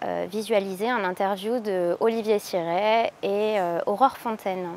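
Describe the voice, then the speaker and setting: A woman with an ordinary speaking voice at a medium pitch, fairly slow pace and fairly even intonation. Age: 30s. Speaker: adult student presenting project. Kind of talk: spoken introduction.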